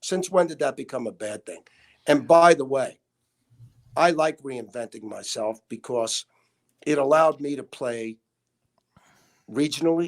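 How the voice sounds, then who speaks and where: Slowing to a fairly slow pace with long, frequent pauses, a man with a Brooklyn accent speaks at fairly high pitch, ordinarily varied, with big swings in loudness. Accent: New York (Brooklyn). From US Northeast, Brooklyn, New York. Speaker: hospitality executive. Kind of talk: interview. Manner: animated.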